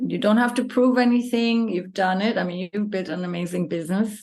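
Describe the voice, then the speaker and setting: At a moderate pace, a woman with an unremarkable speaking voice talks at medium pitch. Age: 50s. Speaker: yoga teacher. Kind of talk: casual interview chat.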